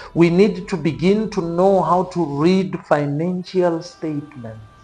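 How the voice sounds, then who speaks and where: At a fairly slow pace, a man speaks in a high pitch with ordinary pitch variation amid noticeable background noise. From South Africa. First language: not English. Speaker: science communicator at space agency. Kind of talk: podcast interview.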